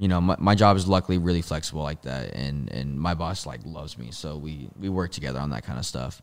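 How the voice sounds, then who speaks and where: A man at a very fast pace with ordinary pitch variation, in a very clean recording with a silent background. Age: 20s. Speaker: movement athlete. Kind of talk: casual chat.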